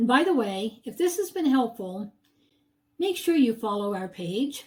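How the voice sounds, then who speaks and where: A woman speaks at a fairly slow pace in a high pitch that swings very widely. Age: 70s. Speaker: real estate agent. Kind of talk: sales pitch.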